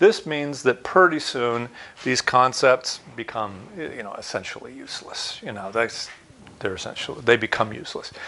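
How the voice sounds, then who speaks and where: A man with a plain, everyday voice speaks at a moderate pace and medium pitch, his intonation lively and his loudness swinging widely. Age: 60s. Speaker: university lecturer. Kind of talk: recorded online lecture.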